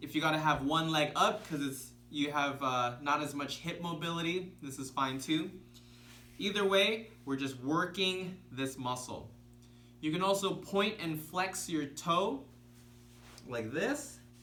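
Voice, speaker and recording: In a room with audible echo, a man speaks fairly slowly with a fairly high pitch, ordinary pitch variation, and a bright, sharp yet relaxed tone. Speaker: self-healing coach. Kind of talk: tutorial. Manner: excited earlier in video; slowed, relaxed pace.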